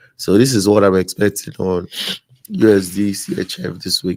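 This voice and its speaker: A very deep, low male voice in a dry, close recording with no echo. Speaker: forex trading mentor. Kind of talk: market analysis tutorial. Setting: live stream. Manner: halting, many fillers.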